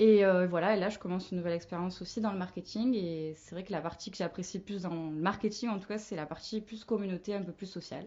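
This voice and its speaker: A woman talks at a very fast pace with hardly any pauses. Her medium-pitched voice keeps fairly even intonation. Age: 20s. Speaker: marketing manager. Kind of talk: podcast interview.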